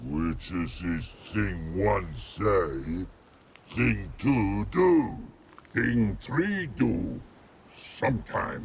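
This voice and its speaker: Putting on a character voice, a man growls at a very slow pace, his pitch very deep and low. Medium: video game. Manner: broken grammar, slow.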